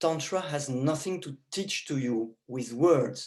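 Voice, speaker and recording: Someone speaks at a very slow pace with a French accent. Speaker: tantra teacher. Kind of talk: lecture.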